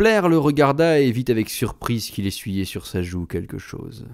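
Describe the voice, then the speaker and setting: At a fairly slow pace, a man speaks with very wide pitch swings on a very clean recording with a silent background. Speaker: audiobook narrator. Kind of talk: literary audiobook reading, third-person narration with quoted dialogue. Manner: measured, storytelling pace, shifting into character voices for dialogue.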